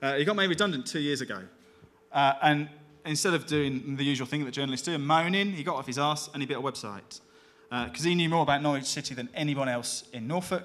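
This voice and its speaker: Speaking in a Birmingham accent, a man goes at a very fast pace with a fairly high pitch. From England, Birmingham. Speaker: digital media executive. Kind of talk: conference talk.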